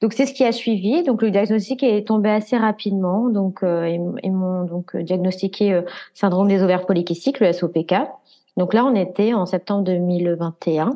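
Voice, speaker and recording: An unremarkable speaking voice from a woman, medium in pitch with ordinary pitch variation, at a fairly slow pace. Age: 20s. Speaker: patient sharing fertility journey. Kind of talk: casual interview.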